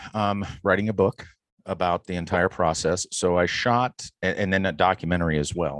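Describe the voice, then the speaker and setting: Against a quiet background, a man with an American accent talks at a moderate pace in a very deep, low pitch. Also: dry, close sound with no echo. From Wisconsin (Beloit). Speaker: freelance cameraman. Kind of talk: casual chat.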